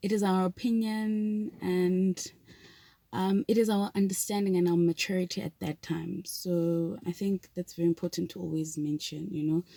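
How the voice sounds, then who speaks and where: A woman speaks in a South African accent at a moderate pace, her medium pitch carrying a dark, mellow tone. The sound is dry and close with no echo, and her intonation stays fairly even. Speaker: vlogger. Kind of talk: casual vlog talk. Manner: hesitant, many fillers.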